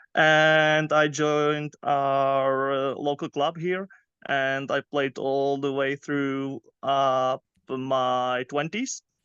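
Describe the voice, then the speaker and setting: A man with a Czech accent and a fairly high pitch speaks very slowly in a bright, sharp tone and monotone, flat intonation, with a dry, close sound with no echo and a quiet background. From Czech Republic, near Prague. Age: 30s. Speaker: youth soccer coach. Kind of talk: interview. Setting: podcast. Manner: halting, many fillers.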